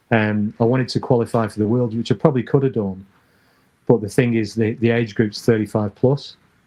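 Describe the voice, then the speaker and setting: A man with a northern English accent speaks at a medium pitch. His pace is fairly quick and his intonation fairly even. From northern England. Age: 60s. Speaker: former BMX rider. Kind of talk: casual interview chat.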